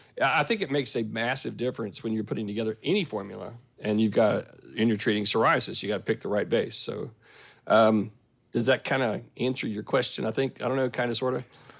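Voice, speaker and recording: Very fast speech with fairly even intonation. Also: man, medium pitch for a man. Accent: strong Southern US. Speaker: pharmacist, clinical services team member. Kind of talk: casual podcast conversation. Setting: remote recording from Saskatchewan.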